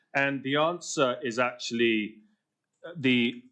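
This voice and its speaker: Here a man talks in a medium pitch. His pitch variation is ordinary. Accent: British. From Britain. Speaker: policy speaker. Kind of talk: conference speech. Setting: panel event at a think tank.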